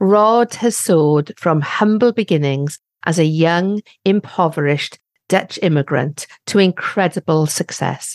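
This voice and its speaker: Recorded with a dry, close sound and no echo, a woman with a British accent keeps her loudness very even. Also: fairly low pitch for a woman, ordinary pitch variation, fairly slow pace. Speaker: podcast host. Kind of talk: interview.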